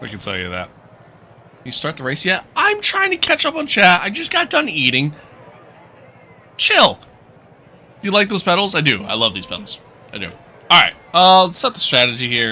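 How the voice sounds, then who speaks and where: A relaxed man speaks at a moderate pace, with long, frequent pauses and big swings in loudness. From New York. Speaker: gaming livestreamer. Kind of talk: live gameplay stream, reading chat. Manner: casual, relaxed.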